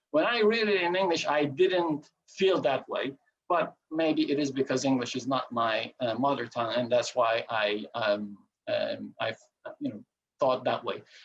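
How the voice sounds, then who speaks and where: A man with a Turkish accent speaks slowly at a fairly high pitch, his intonation lively. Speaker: coin collector and presenter. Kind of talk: lecture. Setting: video call. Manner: halting, many filler sounds.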